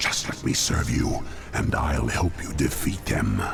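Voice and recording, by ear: With clear music in the background, a man puts on a character voice at an extremely low pitch, his intonation lively and his voice showing vocal fry. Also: fairly slow pace.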